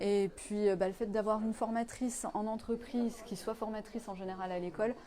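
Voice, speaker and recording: Noticeable background noise beneath a fairly level intonation. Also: woman, fairly high pitch for a woman, fairly quick pace. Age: 30s. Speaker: apprentice optician, former nurse. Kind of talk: interview.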